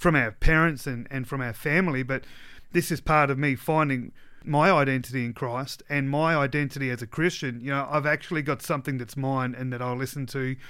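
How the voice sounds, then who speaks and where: In a very clean recording with a silent background, a man with an Australian accent talks at a fairly quick pace. His voice is fairly high, bright and sharp, with fairly even intonation. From South Australia (West Coast). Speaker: pastor. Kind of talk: casual chat. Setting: studio.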